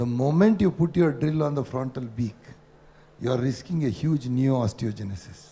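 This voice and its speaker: A man speaks at a moderate pace with a fairly high pitch and lively intonation. His tone is dark and mellow, and somewhat breathy. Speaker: ENT surgeon. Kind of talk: conference panel discussion.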